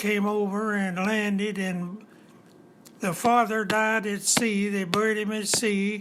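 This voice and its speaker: A man with an Appalachian accent talks at a very slow pace. His high-pitched voice stays monotone and flat. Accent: Appalachian Kentucky. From eastern Kentucky, USA. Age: 90s. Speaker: retired auto factory worker. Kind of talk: interview answer.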